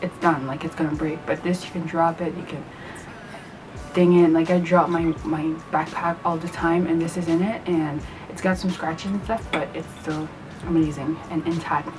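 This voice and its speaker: A woman speaks at a moderate pace over noticeable background noise. Her fairly low voice stays monotone and flat. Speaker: vegan food vlogger. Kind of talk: casual talk to camera.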